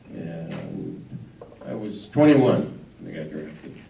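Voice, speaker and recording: In a room with audible echo, a man with an American accent speaks at a fairly low pitch. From Wisconsin, US Midwest. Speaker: war veteran. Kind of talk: talk to a local history audience. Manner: halting, many fillers.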